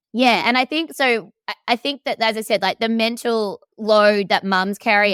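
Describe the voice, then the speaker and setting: Bright and sharp in tone, the voice speaks with an Australian accent at a moderate pace and with lively intonation, in a dry, close sound with no echo on a very clean recording with a silent background. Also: woman. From Australia, Melbourne. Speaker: coach. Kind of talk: casual chat. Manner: animated.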